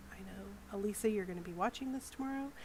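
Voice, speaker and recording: A woman speaks very fast at a medium pitch. Her intonation is lively, with noticeable background noise behind her. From Alabama, US South. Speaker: art streamer. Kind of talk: casual chat while drawing on stream. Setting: live stream with headset.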